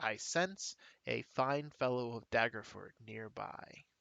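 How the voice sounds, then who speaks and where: A put-on character voice speaks at a low pitch and a fairly slow pace. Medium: actual play.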